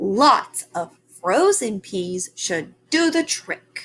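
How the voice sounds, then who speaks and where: A woman puts on a character voice at a medium pitch, speaking very slowly with very wide swings in pitch. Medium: read story. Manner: conspiratorial, whispering.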